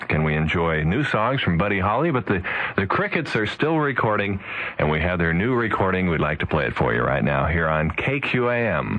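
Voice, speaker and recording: A man with an American accent speaks in a very deep, low pitch at a moderate pace. His loudness stays very even while his pitch swings very widely. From Wichita, United States. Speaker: radio DJ. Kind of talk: AM radio DJ patter between songs. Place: studio. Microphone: old recording.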